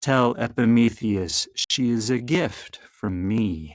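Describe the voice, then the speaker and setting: In a put-on character voice, a man speaks very slowly at a medium pitch. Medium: read story. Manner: commanding, imperious.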